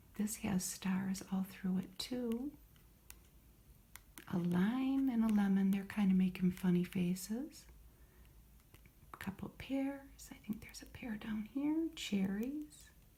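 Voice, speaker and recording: A soft-spoken, somewhat breathy woman's voice with a dark, mellow tone, medium pitch, ordinary pitch variation, a very slow pace and long, frequent pauses. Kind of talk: ASMR show and tell. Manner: soft-spoken, calm.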